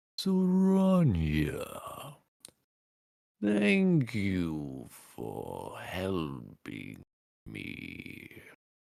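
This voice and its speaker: Someone in a put-on character voice speaks at a very slow pace. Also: man. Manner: memorable, distinctive.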